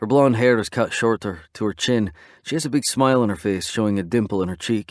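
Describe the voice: The speaker offers plain reading aloud with ordinary pitch variation.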